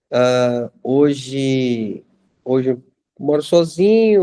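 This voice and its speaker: A man's voice sits fairly high, with a dark, mellow tone. His pitch varies in an ordinary way, and the sound is dry and close with no echo. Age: 40s. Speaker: school monitor, former IT worker. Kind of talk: casual group chat. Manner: hesitant, repeats words.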